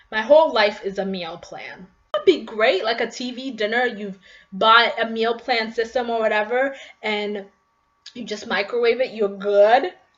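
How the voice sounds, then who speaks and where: The speaker is a woman with a normal speaking voice. Her pace is moderate and her pitch varies in an ordinary way. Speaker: vlogger. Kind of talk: casual vlog monologue.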